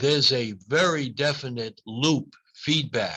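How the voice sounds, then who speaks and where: In an American accent, a man speaks with a bright, sharp tone and ordinary pitch variation. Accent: Boston accent, noticeable to some. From US Northeast, Boston. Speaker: neurology professor. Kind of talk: lecture Q&A.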